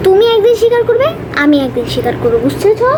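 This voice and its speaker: A woman speaks in a cartoonish character voice at a very fast pace. Loud noise fills the background. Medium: puppet show. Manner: bossy.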